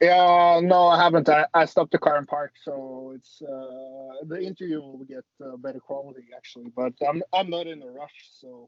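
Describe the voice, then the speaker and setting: With a Norwegian accent, a fairly high-pitched man speaks at a moderate pace with hardly any pauses, ordinary pitch variation and big swings in loudness. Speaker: MMA fighter. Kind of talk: interview. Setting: video call from a parked car. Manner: halting.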